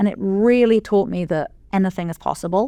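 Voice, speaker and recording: On a very clean recording with a silent background, a woman with an English accent talks at a fairly quick pace in a dark, mellow tone. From England. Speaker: venture capital investor. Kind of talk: podcast interview.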